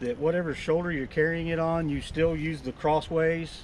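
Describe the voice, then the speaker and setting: A man's fairly high-pitched voice at a moderate pace. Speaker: outdoors gear reviewer. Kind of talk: casual product review. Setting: outdoors by a river. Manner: loud.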